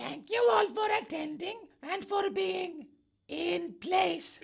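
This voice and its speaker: Using a put-on character voice, a woman talks very slowly at an extremely high pitch with very wide pitch swings. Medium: audio drama. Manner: exuberant.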